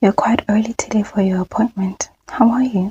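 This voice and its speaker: Soft-spoken and somewhat breathy, a woman with a dark, mellow tone and medium pitch keeps a fairly even intonation in a dry, close sound with no echo. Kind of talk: ASMR medical role play.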